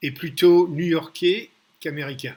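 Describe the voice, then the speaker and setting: The man's voice comes across as somewhat breathy. His pace is very slow. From New York, US (emigrated from Paris at five). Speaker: business mentor and investor. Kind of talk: business talk to camera. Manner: direct; halting with fillers.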